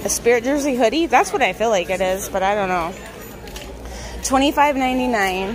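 Lively intonation and a fairly quick pace come through over clear background noise. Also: woman, fairly high pitch for a woman.

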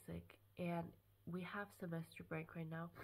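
A woman speaks in a fairly low voice at a moderate pace. Her tone is bright and sharp. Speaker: vlogger. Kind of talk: casual vlog chat. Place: home room. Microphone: phone near.

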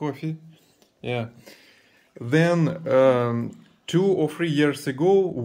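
With a Russian accent, a man with a fairly high pitch speaks with lively intonation over noticeable background noise. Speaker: family vlogger. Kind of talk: casual chat. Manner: animated. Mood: warm, grateful, playful. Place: kitchen. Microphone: phone near.

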